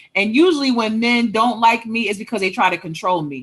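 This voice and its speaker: A loud woman's voice. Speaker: author and relationship coach. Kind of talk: casual chat.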